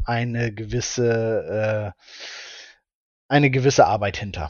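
This man speaks at a very slow pace. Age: 20s. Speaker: shop owner, former dropshipper. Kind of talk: interview. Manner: hesitant, many fillers.

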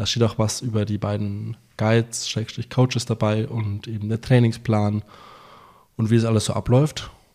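On a very clean recording with a silent background, a dark, mellow voice speaks at a fairly slow pace with monotone, flat intonation. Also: man, medium pitch for a man. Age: 20s. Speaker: podcast co-host. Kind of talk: casual chat.

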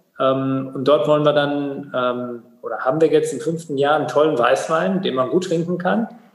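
Moving at a moderate pace with hardly any pauses and ordinary pitch variation, the speech carries audible room echo and noticeable background noise. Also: man, fairly high pitch for a man. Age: 40s. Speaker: water authority executive, former mayor. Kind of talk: interview.

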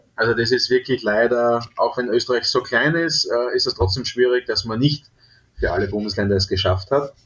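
Moderate pace and medium pitch from a man, with a plain, everyday voice and ordinary pitch variation. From Austria, southeastern Styria. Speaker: top chef and restaurateur. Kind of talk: interview.

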